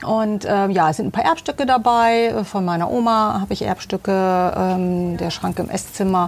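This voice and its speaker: A woman's plain, everyday voice, with ordinary pitch variation and a moderate pace. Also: medium pitch for a woman. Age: 50s. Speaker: homeowner interviewed about her interior design. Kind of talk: casual interview. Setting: outdoors in her garden.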